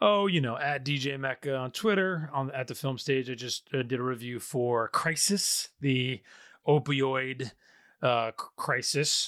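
A man with an unremarkable speaking voice and an American accent talks at a fairly slow pace, his medium pitch moving with ordinary variation, in a very clean recording against a silent background. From upstate New York. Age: 30s. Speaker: film podcast host. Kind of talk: casual chat.

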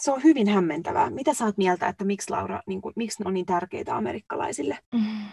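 Speech comes at a very fast pace with hardly any pauses and lively intonation. The sound is dry and close, with no echo. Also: woman, medium pitch for a woman. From Finland. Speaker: podcast co-host, nurse. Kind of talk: casual chat. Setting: recording booth.

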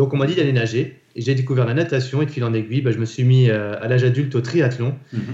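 A man with a dark, mellow tone and medium pitch speaks very fast and somewhat breathily, with fairly even intonation and hardly any pauses. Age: 40s. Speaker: endurance athlete and business leader. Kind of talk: interview.

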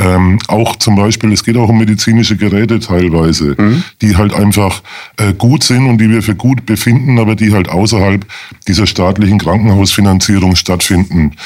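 An ordinary speaking voice from a man, fairly low in pitch, at a moderate pace with ordinary pitch variation and very even loudness, in a very clean recording with a silent background. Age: 50s. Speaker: lawyer, charity association chairman. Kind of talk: radio interview.

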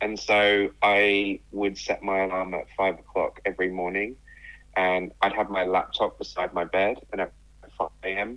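With a southern English accent, a man speaks at a fairly low pitch in a monotone, flat intonation. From southern England, near London. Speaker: writer and speaker. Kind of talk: casual interview chat.

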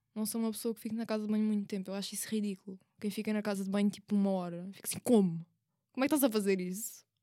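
A woman with a European Portuguese accent talks at a very fast pace in a medium pitch, her tone dark and mellow and her intonation fairly even. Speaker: university student. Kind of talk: casual chat.

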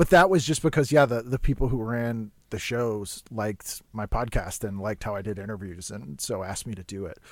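With an American accent, an ordinary speaking voice runs at a fairly quick pace with hardly any pauses, lively intonation and big swings in loudness, on a very clean recording with a silent background. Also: man, fairly low pitch for a man. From Boston. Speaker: comedian and podcast host. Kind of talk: casual chat.

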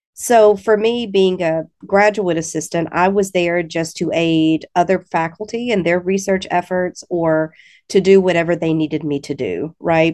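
A woman with a slight Alabama accent, fairly low pitch and fairly even intonation, over a quiet background. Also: moderate pace. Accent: slight Southern US (Alabama). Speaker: English education professor. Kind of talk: casual interview.

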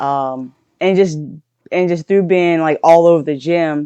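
Heard in a dry, close sound with no echo, a woman with a slight Louisiana accent speaks in a dark, mellow tone with fairly even intonation. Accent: Southern Louisiana accent, slight. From southern Louisiana. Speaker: powerlifter and coach. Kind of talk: casual interview conversation.

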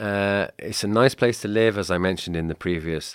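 Sounding dry and close with no echo, a man with a slight Welsh accent talks fairly quickly with lively intonation. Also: very clean recording, silent background. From Wales, Cardiff. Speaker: guest, Welsh expat living in Slovakia. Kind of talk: casual interview chat.

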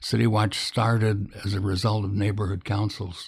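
A man speaks with an American accent at a fairly slow pace. His intonation is monotone and flat. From US Midwest, Illinois. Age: old. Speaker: news editor and publisher. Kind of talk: interview. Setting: recorded at his home. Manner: halting, with many fillers.

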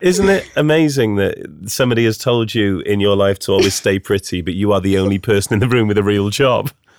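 A man with a British accent at a fairly low pitch, talking at a fairly quick pace with very even loudness, ordinary pitch variation and hardly any pauses. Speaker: podcast co-host. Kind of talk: casual chat.

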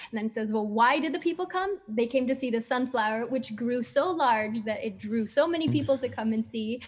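A woman with an American accent and fairly high pitch, lively intonation and hardly any pauses, over noticeable background noise. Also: fairly quick pace. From US, Colombian parents. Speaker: children's musician. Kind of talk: interview. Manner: hesitant, many fillers.

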